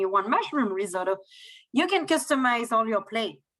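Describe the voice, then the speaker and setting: A woman's bright, sharp voice, fairly high in pitch, at a fairly quick pace with a French accent. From France. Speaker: cruise line sales manager. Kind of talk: sales presentation.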